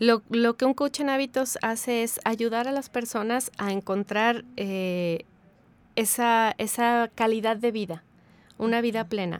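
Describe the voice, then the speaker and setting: An unremarkable speaking voice from a woman, fairly high in pitch and at a fairly slow pace, on a very clean recording with a silent background. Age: 40s. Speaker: habits coach. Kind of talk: casual interview.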